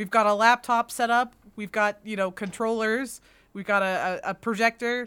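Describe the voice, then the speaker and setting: A woman with an unremarkable speaking voice talks at a moderate pace and fairly high pitch. Her intonation stays fairly even on a very clean recording with a silent background. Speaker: convention podcast co-host. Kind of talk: casual chat.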